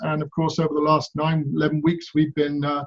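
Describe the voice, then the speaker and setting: Here is a man with a fairly high pitch. He speaks with an English accent. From England. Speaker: pastor. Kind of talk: prepared video greeting. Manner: hesitant, many fillers.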